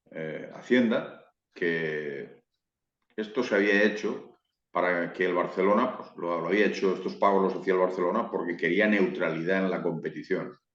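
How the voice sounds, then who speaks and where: Moving at a moderate pace, this man keeps fairly even intonation in a very deep, low voice. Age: 60s. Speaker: football YouTuber. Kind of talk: interview.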